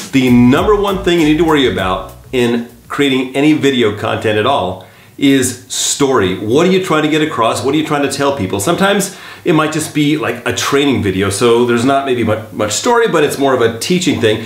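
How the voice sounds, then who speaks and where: This is a plain, everyday voice with lively intonation and very even loudness. It moves at a fairly quick pace. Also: man, medium pitch for a man. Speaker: video editor and voice actor turned real estate agent. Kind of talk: casual talk to camera, tutorial. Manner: conversational, friendly, informal.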